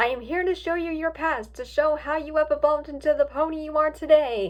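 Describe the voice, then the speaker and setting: Someone puts on a squeaky character voice and talks at a fairly quick pace. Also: woman, high pitch for a woman. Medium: read story. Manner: formal, solemn.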